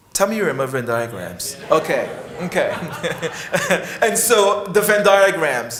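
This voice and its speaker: A man's high voice in a West Indian accent, swinging very widely in pitch, with noticeable background noise and audible room echo. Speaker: psychiatry professor. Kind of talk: conference talk. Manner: halting.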